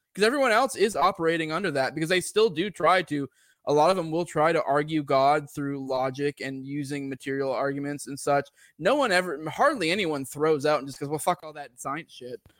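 This man has a normal speaking voice, fairly high in pitch, with ordinary pitch variation and big swings in loudness. He speaks at a fairly quick pace on a very clean recording with a silent background. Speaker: podcaster, atheist guest. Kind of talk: casual philosophical discussion. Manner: casual, profane.

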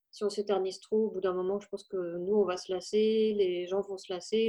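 Monotone, flat intonation at a moderate pace. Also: woman. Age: 30s. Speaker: mother, family podcaster. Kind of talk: casual podcast interview. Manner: hesitant, with fillers.

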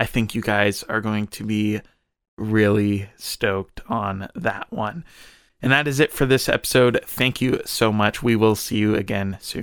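Fairly low in pitch, a man with an unremarkable speaking voice talks at a fairly slow pace in a very clean recording with a silent background. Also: fairly even intonation. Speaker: podcast co-host. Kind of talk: casual podcast interview.

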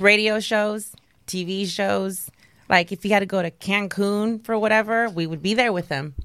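Using a normal speaking voice, a woman talks at a moderate pace and medium pitch with fairly even intonation. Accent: American. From Texas, Dallas. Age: 30s. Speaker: nurse. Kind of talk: casual chat.

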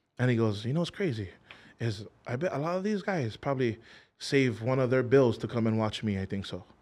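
A man with a Hawaiian accent talks at a very fast pace in a medium pitch, his intonation lively. The recording is very clean, with a silent background. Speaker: singer. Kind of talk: casual chat. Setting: studio. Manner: hesitant, lots of fillers.

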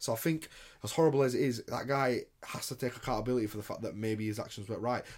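Talking at a very fast pace, a man with a British accent uses a medium pitch and ordinary pitch variation. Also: very clean recording, silent background. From England, Indian heritage. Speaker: podcast co-host. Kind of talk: casual chat.

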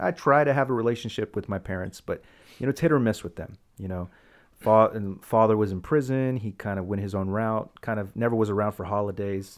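A man with a plain, everyday voice speaks at a fairly quick pace and fairly low pitch, with ordinary pitch variation. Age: 30s. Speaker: podcast host. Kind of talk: casual chat.

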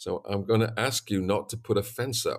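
In a Yorkshire accent, a man of medium pitch talks with fairly even intonation in a very clean recording with a silent background. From East Yorkshire, England. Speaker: swine veterinarian and consultant. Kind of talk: interview. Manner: talkative.

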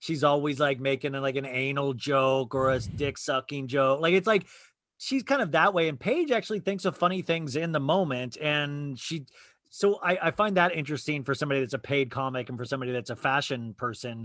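On a very clean recording with a silent background, a man with an American accent speaks fairly quickly in an unremarkable speaking voice, fairly high-pitched with ordinary pitch variation. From Arizona. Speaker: podcast guest, reality TV fan. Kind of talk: casual chat.

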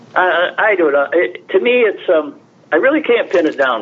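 Man with an American accent at a fairly quick pace, over noticeable background noise. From upstate New York, US. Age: 80s+. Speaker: historian. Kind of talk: radio interview.

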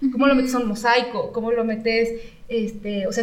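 A woman talks at a high pitch and a fairly quick pace with monotone, flat intonation. Noticeable background noise and audible room echo are present. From Mexico, San Luis Potosí. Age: 30s. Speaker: architect and designer. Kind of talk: casual interview.

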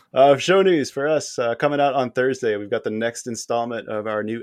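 A man talks at a moderate pace in a normal speaking voice with ordinary pitch variation. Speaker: podcast host. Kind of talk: casual chat.

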